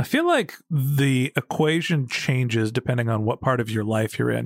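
A man's unremarkable speaking voice with ordinary pitch variation, on a very clean recording with a silent background. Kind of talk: interview questioning.

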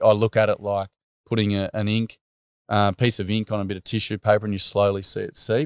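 A man with an Australian accent at a very fast pace, flat and monotone, on a very clean recording with a silent background and a dry, close sound with no echo. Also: fairly low pitch for a man. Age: 30s. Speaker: school teacher and workshop facilitator. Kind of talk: interview storytelling. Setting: at his family home.

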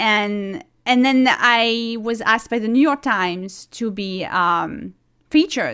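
Speaking in a French accent, a woman has a bright, sharp tone. Her intonation is lively. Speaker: singer-songwriter. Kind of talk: casual interview chat. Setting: video call.

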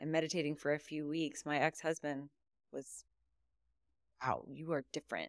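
A woman's very deep, low voice in an American accent, monotone and flat, with a dry, close sound, no echo, and a very clean recording with a silent background. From US South, southern Louisiana near New Orleans. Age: 40s. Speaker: meditation coach. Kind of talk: interview.

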